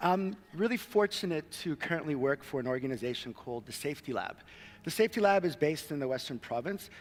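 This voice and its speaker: A man with a fairly high pitch talks at a very fast pace with lively intonation. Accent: American. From Cape Town, South Africa and United States. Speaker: social innovation worker, conference speaker. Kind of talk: conference talk. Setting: stage with audience.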